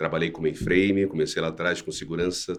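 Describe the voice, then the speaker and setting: The speaker is a man. He talks with a Rio de Janeiro accent. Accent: carioca. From Brazil, Rio de Janeiro (west zone). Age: 40s. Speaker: cybersecurity professional. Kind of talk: interview.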